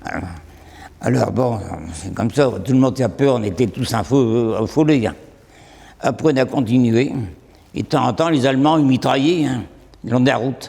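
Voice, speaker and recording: A man's dark, mellow voice at a medium pitch with ordinary pitch variation. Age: 80s+. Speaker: elderly wartime eyewitness. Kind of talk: testimony. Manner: halting.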